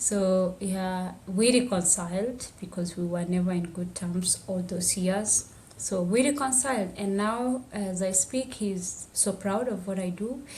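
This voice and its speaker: A medium-pitched woman with ordinary pitch variation and hardly any pauses, in audible room echo. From Tanzania, Maasai village on Kilimanjaro slopes. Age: 20s. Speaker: activist and public health student. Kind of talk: podcast interview, personal testimony. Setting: podcast interview.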